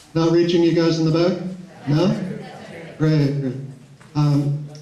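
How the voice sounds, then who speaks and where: At a fairly slow pace, a man with a fairly high pitch speaks in a monotone, flat way, with noticeable background noise and audible room echo. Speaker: village council candidate. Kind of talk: campaign speech. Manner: halting. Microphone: too quiet at the back.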